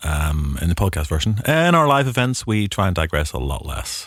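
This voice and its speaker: Lively intonation marks this speaker's Northern Irish accent. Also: man. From Northern Ireland. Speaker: film podcast host, film historian. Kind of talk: casual chat. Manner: hesitant, many fillers.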